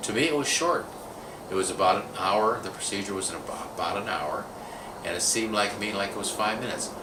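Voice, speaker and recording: Amid noticeable background noise and audible room echo, a man speaks at a fairly low pitch with lively intonation. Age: 60s. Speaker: video producer sharing personal experience. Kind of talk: casual testimonial monologue.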